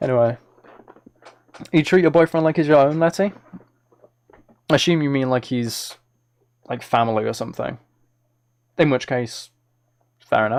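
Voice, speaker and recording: Long, frequent pauses break up a man's speech. His pace is moderate and his pitch varies in an ordinary way. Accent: British. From Britain. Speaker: ASMR streamer and musician. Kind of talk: casual live-stream chat. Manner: halting, with repeated words.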